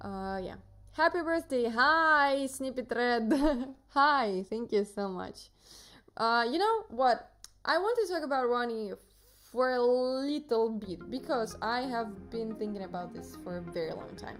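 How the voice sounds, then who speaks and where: A woman with a Russian accent speaks fairly slowly in a high pitch with lively intonation. Her loudness swings widely, with music in the background. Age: 20s. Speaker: streamer. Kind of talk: casual chat. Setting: live stream. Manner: hesitant, many fillers.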